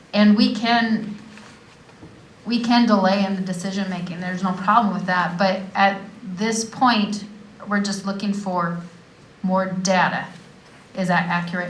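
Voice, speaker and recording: Amid audible room echo, a woman of medium pitch speaks at a fairly slow pace in a monotone, flat intonation, with long, frequent pauses. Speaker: mayor. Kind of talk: council meeting.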